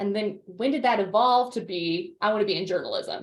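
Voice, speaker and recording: Loud and at a moderate pace, a woman talks with lively intonation. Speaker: alumni event host. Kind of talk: interview. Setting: video call.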